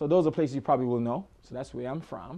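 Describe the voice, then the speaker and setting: A man is speaking. He has an Antiguan accent. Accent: Antiguan Caribbean. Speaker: hairstylist. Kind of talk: self-promotional talk to camera. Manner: casual, hesitant with many fillers.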